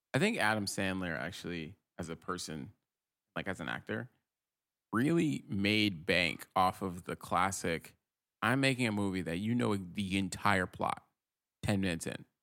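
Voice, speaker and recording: With an American accent, this voice has a bright, sharp tone and vocal fry, moving at a moderate pace with lively intonation and long, frequent pauses. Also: man, very deep, low pitch for a man. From Rhode Island, US. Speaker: tech worker, podcast guest. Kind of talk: casual chat.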